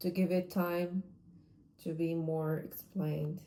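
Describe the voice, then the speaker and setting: A woman's medium-pitched voice, dark and mellow in tone, at a very slow pace. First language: not English. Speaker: vlogger, amateur artist. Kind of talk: casual monologue vlog. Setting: at home. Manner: halting, self-correcting.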